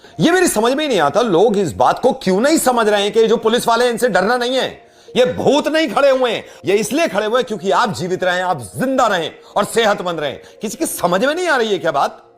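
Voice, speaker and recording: Noticeable background noise sits behind a man speaking at a moderate pace. His voice is high-pitched, with lively intonation. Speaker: radio jockey. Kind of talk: earnest public-service style address to camera about lockdown. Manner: earnest, persuasive, emphatic.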